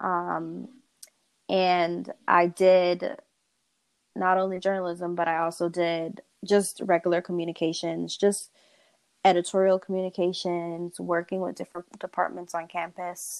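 A woman with an American accent, fairly low in pitch, fairly slow and monotone, in a dry, close sound with no echo. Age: 20s. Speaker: guest. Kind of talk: casual interview chat. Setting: remote call.

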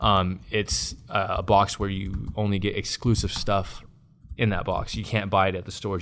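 A man with an American accent speaks in monotone, flat intonation with vocal fry. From Long Beach, Southern California. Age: 30s. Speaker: entrepreneur. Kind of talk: casual interview.

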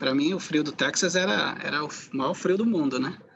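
A man talks in an ordinary speaking voice at a fairly slow pace. His pitch varies in an ordinary way. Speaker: podcast host, sociology professor. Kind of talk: interview conversation.

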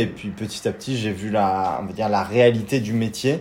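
A man with a fairly low pitch speaks with fairly even intonation amid audible room echo. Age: 20s. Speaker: cycling traveler, engineering graduate. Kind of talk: interview.

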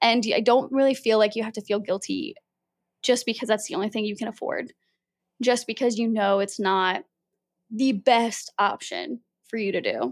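In a very clean recording with a silent background and a dry, close sound with no echo, a woman with a fairly high pitch speaks at a moderate pace with long, frequent pauses. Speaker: podcast host. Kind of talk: solo casual monologue.

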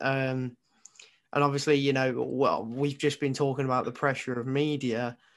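Moderate pace and monotone, flat intonation, with an English accent over a quiet background. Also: man, medium pitch for a man. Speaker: co-host. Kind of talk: casual chat.

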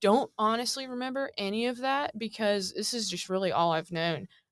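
A woman's bright, sharp, fairly high voice in an American accent, with ordinary pitch variation. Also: hardly any pauses. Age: 20s. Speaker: former college basketball team manager. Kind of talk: interview. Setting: studio.

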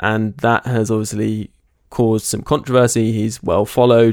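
A man with an unremarkable speaking voice talks at a moderate pace and a medium pitch, keeping his intonation fairly even. The recording is very clean, dry and close, with no echo and a silent background. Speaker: podcast host. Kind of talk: casual chat.

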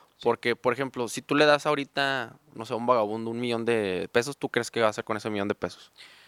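A man talks at a very fast pace in a dry, close sound with no echo. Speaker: car salesman. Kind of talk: casual chat.

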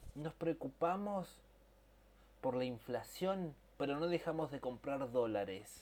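A man with a Rioplatense accent talks at a very slow pace, with long, frequent pauses. His pitch is fairly high, and his intonation is lively. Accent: Argentine Rioplatense Spanish. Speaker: podcast co-host. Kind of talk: casual chat. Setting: home recording.

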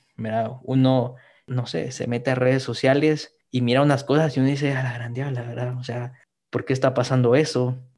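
Against a quiet background, a man with a normal speaking voice talks at a medium pitch and a moderate pace. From Guatemala. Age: 20s. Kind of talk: podcast interview, personal testimony.

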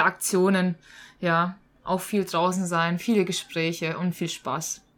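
A plain, everyday voice from a woman at medium pitch and moderate pace. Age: 20s. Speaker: teacher and scout leader. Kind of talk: casual interview.

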